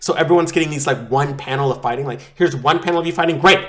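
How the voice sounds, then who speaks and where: An animated man speaks at a fairly high pitch with vocal fry and ordinary pitch variation. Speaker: anime YouTuber. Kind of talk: casual commentary. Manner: loud.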